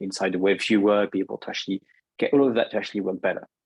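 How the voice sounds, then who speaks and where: Speaking at a very fast pace with a French accent, a man with a fairly low pitch sounds dry and close with no echo against a quiet background. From France. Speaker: software product manager. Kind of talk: product presentation. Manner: halting.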